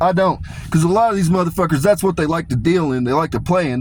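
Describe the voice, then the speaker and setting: A man with an American accent speaks at a high pitch with ordinary pitch variation. Noticeable background noise is present. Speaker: commentary video creator. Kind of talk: monologue reading prepared notes. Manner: casual, profane.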